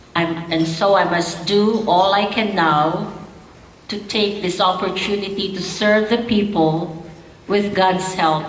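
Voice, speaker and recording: A woman speaks at a fairly slow pace in a medium pitch with fairly even intonation. Audible room echo and noticeable background noise fill the recording. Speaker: politician. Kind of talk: speech reading from a text. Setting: gala stage with audience. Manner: read from notes, some halting restarts.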